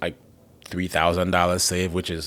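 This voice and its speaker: A man with a Haitian accent and a very deep, low pitch, on a very clean recording with a silent background. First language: Haitian Creole. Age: 20s. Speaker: comedian. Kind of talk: casual chat.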